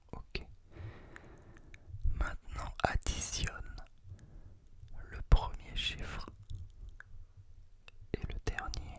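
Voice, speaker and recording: Whispering at a very slow pace with long, frequent pauses against noticeable background noise. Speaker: ASMR creator. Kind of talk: ASMR close-whispered guided relaxation, giving instructions to the listener. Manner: whispered, soft, slow.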